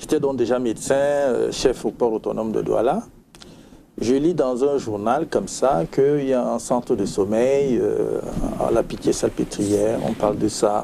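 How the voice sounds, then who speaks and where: A man speaks in a normal speaking voice at a medium pitch, with ordinary pitch variation. His loudness stays very even and his pace is fairly slow. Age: 60s. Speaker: retired physician, sleep medicine specialist. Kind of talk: interview.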